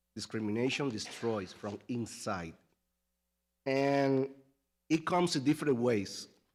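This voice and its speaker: A man with a Spanish accent speaks at a medium pitch and a fairly slow pace, with lively intonation and long, frequent pauses, on a very clean recording with a silent background. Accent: Spanish accent, non-native English. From Latin America. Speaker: parent giving public comment. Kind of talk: public comment speech. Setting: school board meeting.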